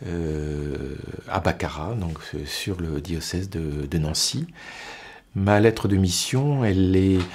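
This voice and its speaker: Very slowly and with lively intonation, a man talks in a very deep, low voice. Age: 60s. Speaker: deacon, HR manager. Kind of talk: testimony interview. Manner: hesitant, repeats words.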